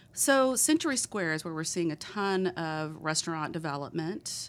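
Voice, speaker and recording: A woman with a fairly low pitch on a very clean recording with a silent background. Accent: Texan. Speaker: economic development director. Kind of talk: casual interview.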